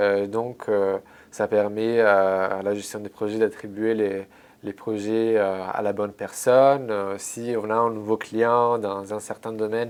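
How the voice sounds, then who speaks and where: This man has an Italian accent and a fairly low pitch. He speaks very slowly in a monotone, flat delivery. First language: Italian (speaking French). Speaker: translator, former intern. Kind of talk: interview. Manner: halting, many fillers and repetitions.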